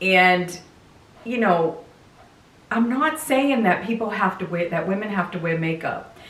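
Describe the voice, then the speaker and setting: A woman at medium pitch talks at a fairly slow pace with lively intonation and long, frequent pauses. Noticeable background noise and audible room echo surround her voice. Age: 60s. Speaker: lifestyle vlogger. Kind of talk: casual chat. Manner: conversational, informal.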